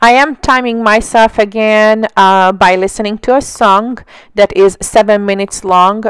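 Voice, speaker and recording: In a very clean recording with a silent background and a dry, close sound with no echo, a woman speaks at a fairly slow pace with fairly even intonation. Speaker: mixed media art tutorial creator. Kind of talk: voiceover tutorial. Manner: trying to speak louder than usual; hesitant, many fillers.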